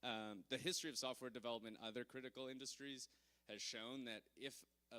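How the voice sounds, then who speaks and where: A man with a Canadian accent, medium in pitch, bright and sharp in tone, flat and monotone at a fairly quick pace. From Canada. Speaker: conference speaker, blockchain security. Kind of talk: conference talk. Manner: hesitant, many fillers.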